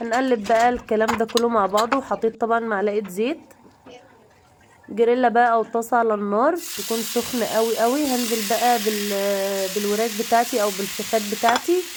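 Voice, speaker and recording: Amid noticeable background noise, a woman speaks at a fairly high pitch with very even loudness and fairly even intonation. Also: moderate pace. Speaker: cooking channel host. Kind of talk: cooking tutorial. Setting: home kitchen.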